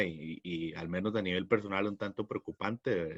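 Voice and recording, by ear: A man's voice has a fairly bright tone with a slightly husky edge. His pitch variation is ordinary.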